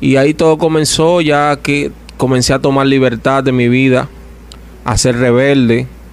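A man talks at a medium pitch. His intonation is fairly even, with noticeable background noise in the mix. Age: 30s. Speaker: evangelical preacher. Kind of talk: testimony.

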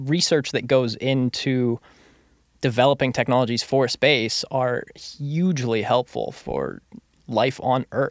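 A man with a plain, everyday voice speaks at a medium pitch with fairly even intonation. The sound is dry and close with no echo on a very clean recording with a silent background. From Surrey, British Columbia, Canada. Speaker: theatre company founder and podcast host. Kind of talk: casual chat. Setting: studio.

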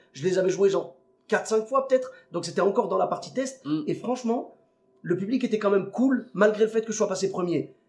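This man's voice is high in pitch, with ordinary pitch variation. He keeps a fairly quick pace. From Clermont-Ferrand, France. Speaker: podcast host and comedian. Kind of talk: casual chat; podcast intro.

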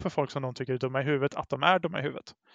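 The recording of a man with a Gothenburg accent has a dry, close sound with no echo and a quiet background. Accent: West Swedish, Gothenburg area. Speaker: guest, Facebook group admin. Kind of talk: casual conversation.

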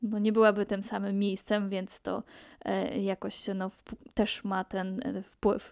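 Speaking at a very slow pace in a monotone, flat intonation, a woman is recorded in a dry, close sound with no echo. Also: medium pitch for a woman. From Poland, Pomerania. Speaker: podcaster. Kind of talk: solo podcast monologue.

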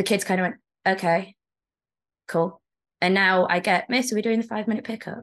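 Against a quiet background, a woman with a British accent speaks at medium pitch and a fairly quick pace, with ordinary pitch variation and long, frequent pauses. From England. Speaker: teacher. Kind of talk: casual chat.

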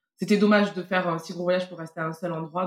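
A woman speaks in an unremarkable speaking voice with fairly even intonation. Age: 30s. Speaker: parent and travel guest. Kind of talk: casual interview.

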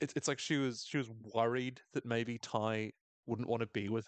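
In an unforced reading voice, the speaker keeps a fairly even intonation against a quiet background.

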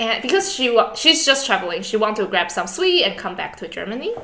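A woman speaks with a Chinese accent. There is noticeable background noise. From Taiwan. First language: Mandarin Chinese. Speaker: podcast host, master's student. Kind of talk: casual chat.

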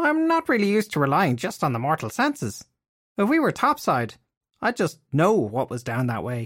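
This man does a put-on character voice, high in pitch, at a moderate pace. The recording is very clean, with a silent background. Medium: read story. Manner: candid, self-excusing.

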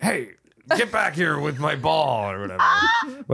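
Putting on a gruff character voice, a man speaks at a fairly high pitch. His pace is fairly slow.

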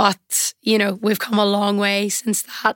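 A woman with a Northern Irish accent speaks at a fairly high pitch, the sound dry and close with no echo. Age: 20s. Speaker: semi-professional footballer. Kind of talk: interview.

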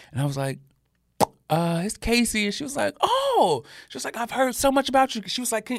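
This man speaks with an American accent at a fairly quick pace. His pitch is extremely high for a man and swings very widely. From US South, Birmingham, Alabama. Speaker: fashion creative and brand founder. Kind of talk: interview conversation.

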